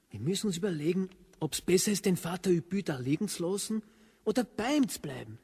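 A man's put-on character voice, high-pitched and husky with a rough edge, slightly mellow in tone, fast and lively in intonation.

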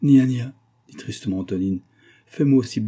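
What you hear is an unforced reading voice.

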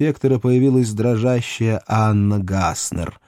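It is plain reading aloud, the intonation fairly even.

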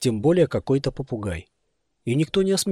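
With a quiet background, a passage is read aloud in a natural voice.

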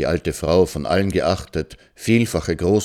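A plain read-aloud delivery, its pitch varying in an ordinary way

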